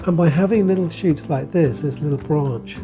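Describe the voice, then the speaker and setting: The delivery moves at a moderate pace. Music plays in the background. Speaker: bonsai teacher. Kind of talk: tutorial talk to camera.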